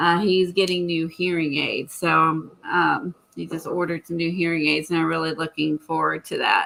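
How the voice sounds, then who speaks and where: A woman's speech runs at a moderate pace, with noticeable noise in the background. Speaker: crafter on art livestream. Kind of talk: casual chat. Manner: animated; loud.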